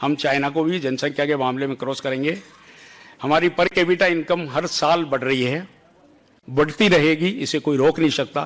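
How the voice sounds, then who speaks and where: Fairly high in pitch, a man talks with ordinary pitch variation. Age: 60s. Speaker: company chairman. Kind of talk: motivational speech.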